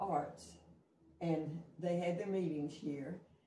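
The delivery is very slow with fairly even intonation. Audible room echo and light background noise are present. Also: woman. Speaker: interviewee. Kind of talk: interview answer. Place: kitchen. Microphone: camera far.

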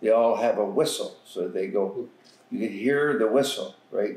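A man's voice with audible room echo. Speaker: elder storyteller. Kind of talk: interview answer. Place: home room. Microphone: camera far.

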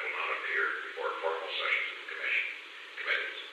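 A man speaks amid strong room echo. Background noise is noticeable. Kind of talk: private conversation. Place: office. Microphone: old recording.

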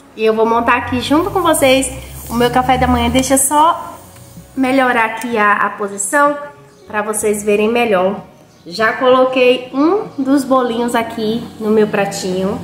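Amid light background noise and audible room echo, a woman talks at a fairly slow pace. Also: ordinary pitch variation. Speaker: home vlogger. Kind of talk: casual vlog chat. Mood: cheerful, upbeat. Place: home room. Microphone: phone near.

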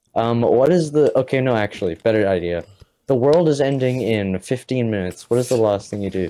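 Dark and mellow in tone, a man at a medium pitch speaks with lively intonation. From New Zealand. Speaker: podcast co-host. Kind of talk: casual chat; role-play game narration.

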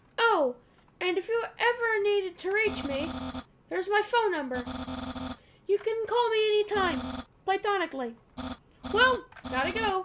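A loud, put-on character voice with an extremely high pitch delivers lines at a moderate pace. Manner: loud, goofy.

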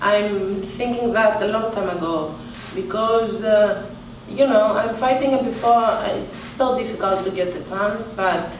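With audible room echo and light background noise, a woman speaks at a moderate pace and a fairly high pitch in a Greek accent, leaving long, frequent pauses. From Greece. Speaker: boxer. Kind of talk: press conference answers. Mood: calm, determined. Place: hall.

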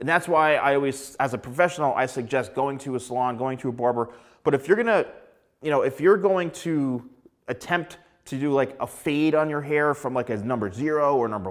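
The background is quiet as a man speaks at a moderate pace. His pitch varies in an ordinary way. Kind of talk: tutorial. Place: studio. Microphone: lapel.

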